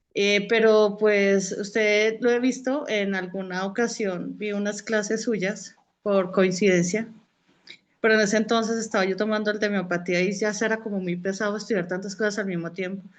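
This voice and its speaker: A woman at a medium pitch and moderate pace, in monotone, flat intonation. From Colombia. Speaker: student. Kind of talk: casual chat. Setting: video call.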